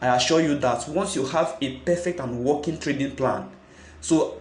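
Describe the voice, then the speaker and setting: A somewhat breathy man speaks with ordinary pitch variation. The room echo is audible. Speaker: forex trading youtuber. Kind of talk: tutorial.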